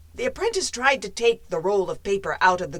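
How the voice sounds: The voice here is a natural reading voice.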